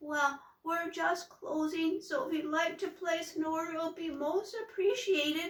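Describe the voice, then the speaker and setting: Using a put-on character voice, a woman speaks in an extremely high, shaky and timid tone at a moderate pace with hardly any pauses. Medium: read story. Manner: meek, timid.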